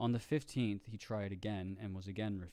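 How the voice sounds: With fairly even intonation, someone reads in a natural voice.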